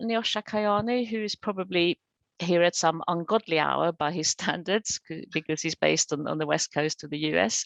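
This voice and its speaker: A woman with a Swedish accent, fairly low in pitch, lively in intonation, at a moderate pace, dry and close with no echo against a quiet background. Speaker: webinar moderator. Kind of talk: webinar hosting.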